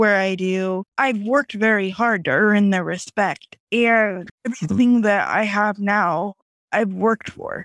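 A woman with an American accent speaks at a very slow pace, her fairly high voice moving in fairly even intonation. The very clean recording has a silent background and a dry, close sound with no echo. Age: 30s. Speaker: motivational speaker. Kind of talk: casual chat.

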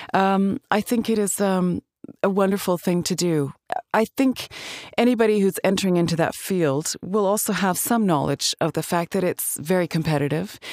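With a Canadian accent and a normal speaking voice, the speaker talks at a moderate pace with ordinary pitch variation and very even loudness, in a dry, close sound with no echo. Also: woman, medium pitch for a woman. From Alberta, Canada. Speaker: actress and voice actor. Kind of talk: casual interview.

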